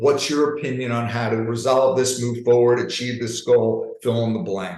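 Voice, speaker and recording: A man speaks with an American accent at a moderate pace. The room echo is audible. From New York. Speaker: leadership coach. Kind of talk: webinar presentation. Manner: animated.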